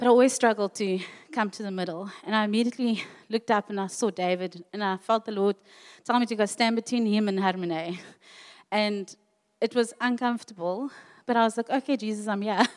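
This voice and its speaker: In a dry, close sound with no echo, a woman with an unremarkable speaking voice talks at a fairly quick pace and a fairly high pitch, her intonation fairly even. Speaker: church member sharing a word. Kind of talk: testimony. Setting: church.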